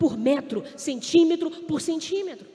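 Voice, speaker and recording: An animated tone with ordinary pitch variation comes through over noticeable background noise. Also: woman. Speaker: preacher. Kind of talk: sermon. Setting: stage with audience.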